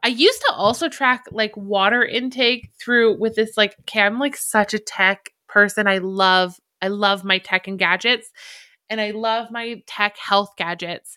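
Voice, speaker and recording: On a very clean recording with a silent background, a woman with a Canadian accent and a fairly high pitch sounds animated, her bright, sharp tone moving at a moderate pace with ordinary pitch variation. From Alberta, Canada. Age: 30s. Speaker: podcaster and blogger. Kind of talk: casual solo monologue, barely edited. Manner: self-deprecating, chatty, animated, rambling.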